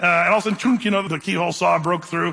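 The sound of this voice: His voice is high for a man, with a bright, sharp tone and vocal fry, and he talks at a very fast pace in a fairly even intonation.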